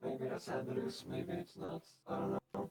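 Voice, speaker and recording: Moderate pace in a put-on character voice. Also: man, medium pitch for a man. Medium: machinima. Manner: evasive, teasing.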